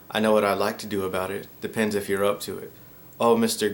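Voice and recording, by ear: Someone is reading aloud in a natural voice. Nothing else stands out.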